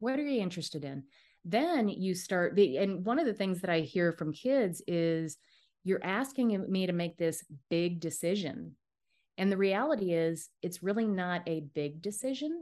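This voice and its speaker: This woman speaks with an American accent at a moderate pace and a medium pitch. Her intonation is lively, and the background is quiet. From US Midwest, Dubuque, Iowa. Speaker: career and strengths coach. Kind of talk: casual interview.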